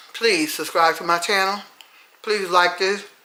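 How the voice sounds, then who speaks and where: A woman with a medium pitch is heard with audible room echo. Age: 60s. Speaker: retired home cook with a cooking channel. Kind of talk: casual cooking video talk to viewers. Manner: animated.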